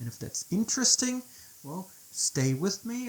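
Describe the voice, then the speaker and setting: Delivered at a moderate pace, the speech comes in a German accent. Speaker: devotional teacher. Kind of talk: video presentation. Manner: halting.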